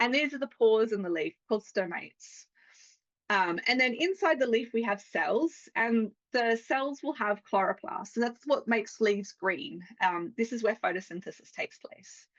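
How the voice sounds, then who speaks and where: A woman has an unremarkable speaking voice, pitched fairly high. Her intonation is lively. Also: moderate pace. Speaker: plant scientist and author. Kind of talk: lecture.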